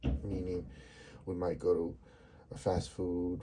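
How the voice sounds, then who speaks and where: A man speaks with a very deep, low pitch and a dark, mellow tone. Vocal fry runs through his voice. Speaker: vlogger. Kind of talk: casual monologue. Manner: halting.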